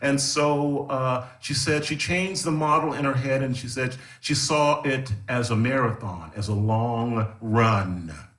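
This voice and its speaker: A man's medium-pitched voice with an American accent, fairly slow with hardly any pauses, ordinary pitch variation and audible room echo. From Texas. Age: 60s. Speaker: gospel singer. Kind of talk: conversation at a live event. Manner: halting, with frequent repetitions.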